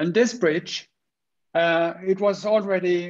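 Over a quiet background, a man with a Swedish accent talks in a high voice with ordinary pitch variation. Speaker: structural engineer, wood industry innovation head; panelist. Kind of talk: presentation. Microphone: webcam.

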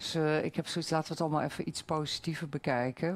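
A woman speaks in a very deep, low voice. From Netherlands. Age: 50s. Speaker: local party candidate; candidate. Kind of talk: debate. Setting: stage with audience. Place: hall.

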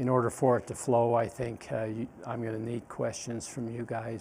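A man speaks at a moderate pace with monotone, flat intonation over light background noise. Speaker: instructor. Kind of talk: lecture. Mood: relaxed, informal. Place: classroom. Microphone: lapel.

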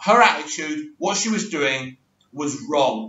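Speaking with an English accent, a man goes at a fairly slow pace. Audible room echo surrounds his voice. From England. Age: 40s. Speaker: YouTube reality TV commentator. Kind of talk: casual monologue reaction video. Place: home room. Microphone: webcam.

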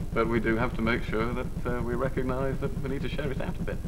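A man talks very fast while noticeable background noise carries on. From northern England. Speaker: politician. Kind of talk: TV talk show interview. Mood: relaxed, smiling. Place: studio.

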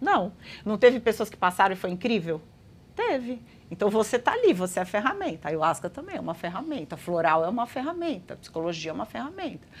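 A woman races along at a very fast pace with a medium pitch. Her pitch swings very widely, and her loudness rises and falls sharply. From Brazil, Guarujá (São Paulo state). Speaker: astrologer and holistic therapist. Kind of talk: interview conversation.

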